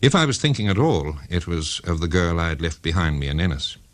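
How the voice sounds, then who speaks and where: A man with an Irish accent speaks at a moderate pace. His pitch is very deep and low, with vocal fry. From Ireland. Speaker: writer. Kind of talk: personal ghost story narration.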